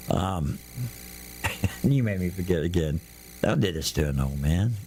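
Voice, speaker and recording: Long, frequent pauses at a fairly slow pace, over noticeable background noise. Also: man, very deep, low pitch for a man, lively intonation. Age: 70s. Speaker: fishing radio show host. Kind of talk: casual radio chat.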